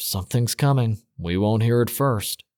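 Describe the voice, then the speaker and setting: A man in a put-on character voice, medium in pitch, with a dry, close sound and no echo. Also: moderate pace. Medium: read story. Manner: low, muttering.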